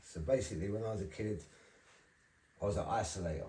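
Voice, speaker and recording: With a South London accent, a man talks at a fairly quick pace in a somewhat breathy, dark, mellow voice of fairly low pitch, with audible room echo. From South East London (Charlton). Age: 40s. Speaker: recovering addict, ex-prisoner. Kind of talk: testimony.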